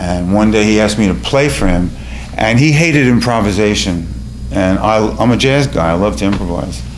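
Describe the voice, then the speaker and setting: Fairly quick, very evenly loud speech from a man in a New York accent, fairly low in pitch with lively intonation, plus audible room echo and noticeable background noise. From New York City (Bronx). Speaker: storyteller and musician. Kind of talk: personal storytelling on stage. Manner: halting, with fillers.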